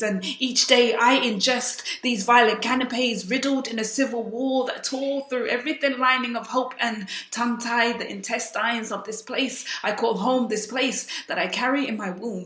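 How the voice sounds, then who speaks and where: Speaking at a moderate pace with hardly any pauses, a woman holds a high pitch and fairly even intonation. Background noise is noticeable. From South Sudan. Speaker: spoken word poet. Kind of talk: spoken word poetry performance.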